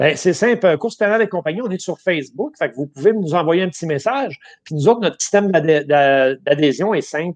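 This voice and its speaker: Against a quiet background, a man with a high voice speaks at a moderate pace with lively intonation. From Quebec. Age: 50s. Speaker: motivational coach and ultrarunner; interview guest. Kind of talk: interview. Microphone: earbuds.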